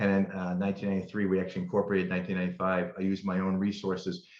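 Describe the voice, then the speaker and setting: A man's very deep, low voice in a New England accent, very fast, with monotone, flat intonation. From Massachusetts, Berkshires. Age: 60s. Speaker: attorney and district attorney candidate. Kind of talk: interview. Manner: halting, with frequent repetitions.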